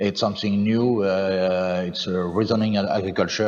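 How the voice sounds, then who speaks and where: This speaker has a French accent. Noticeable background noise is present. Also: man. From France. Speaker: farmer, farm representative. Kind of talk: panel discussion. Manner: halting, many fillers.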